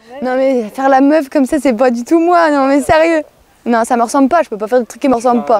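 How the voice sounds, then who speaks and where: Her pitch high, a woman races along at a very fast pace with ordinary pitch variation. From Lorraine, France (Nancy area). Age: 20s. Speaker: horseball player. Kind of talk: interview answers. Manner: hesitant, many fillers.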